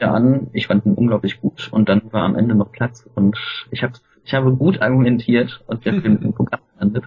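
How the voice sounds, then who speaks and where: Here is a plain, everyday voice from a man with a medium pitch. He speaks at a fairly quick pace with ordinary pitch variation. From Germany, Cologne. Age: 30s. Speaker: film festival team member. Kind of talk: casual interview.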